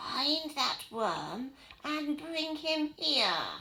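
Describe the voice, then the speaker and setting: A woman's put-on character voice, pitched high. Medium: read story. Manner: bossy, menacing.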